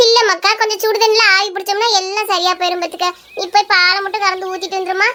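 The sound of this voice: A woman's cartoonish character voice, extremely high in pitch and flat in intonation, at a fairly quick pace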